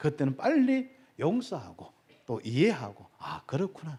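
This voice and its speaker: A man's fairly high yet dark, mellow voice with very wide pitch swings, in a very clean recording with a silent background. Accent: Gyeongsang. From Gyeongsang Province, South Korea. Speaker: pastor. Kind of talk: sermon. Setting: church.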